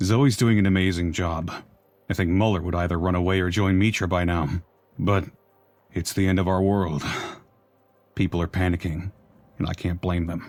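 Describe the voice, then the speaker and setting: A man uses a put-on character voice with a very deep, low pitch. He talks at a moderate pace with long, frequent pauses. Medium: video game. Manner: tired, thoughtful.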